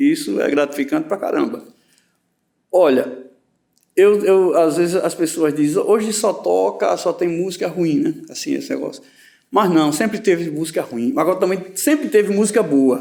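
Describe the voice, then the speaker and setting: A man's dark, mellow voice at a high pitch, with very wide pitch swings and a moderate pace. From Rio Grande do Norte, Northeast Brazil. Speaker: poet and musician. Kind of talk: interview answer. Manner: casual, hesitant.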